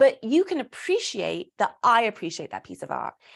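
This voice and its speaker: A woman with a British accent speaks in an animated tone with vocal fry. The recording is very clean, with a silent background. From Britain. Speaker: burlesque performer and speaker. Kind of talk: casual interview chat.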